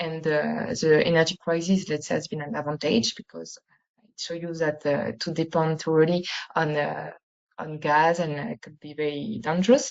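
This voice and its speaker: The speaker has a French accent and a moderate pace. Pitch varies in an ordinary way, while loudness swings widely. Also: woman, very deep, low pitch for a woman. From France. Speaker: university researcher. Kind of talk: webinar presentation. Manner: halting, many fillers.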